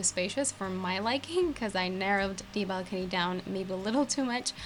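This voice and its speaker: Speaking at a fairly quick pace with lively intonation, the voice comes through over noticeable background noise. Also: woman. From Turkey. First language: Turkish. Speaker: gaming youtuber. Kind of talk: voiceover commentary. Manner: casual, hesitant with fillers.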